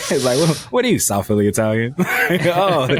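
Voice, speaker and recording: A man's medium-pitched voice at a fairly quick pace, full of very wide pitch swings, against noticeable background noise. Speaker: podcast co-host. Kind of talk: casual chat. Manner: fast, animated.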